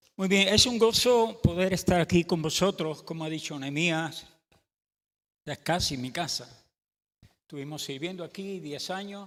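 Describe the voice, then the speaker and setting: On a very clean recording with a silent background, a man with a high pitch and ordinary pitch variation speaks at a fairly slow pace. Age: 70s. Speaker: pastor. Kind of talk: sermon. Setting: church.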